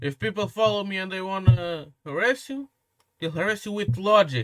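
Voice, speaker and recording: The intonation is lively. The pace is moderate. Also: man. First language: Portuguese. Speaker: commentary youtuber. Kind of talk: reaction commentary rant. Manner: animated.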